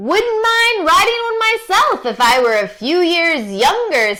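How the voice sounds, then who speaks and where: Putting on a character voice, a woman speaks at an extremely high pitch with very wide pitch swings and a fairly slow pace. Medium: read story.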